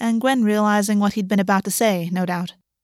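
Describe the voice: Text given a plain reading aloud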